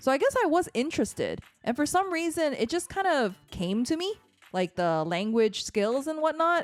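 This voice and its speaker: Over music in the background, a speaker with an American accent talks at a moderate pace with very wide pitch swings. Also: woman, high pitch for a woman. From San Francisco, US. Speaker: podcast co-host. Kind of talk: casual chat.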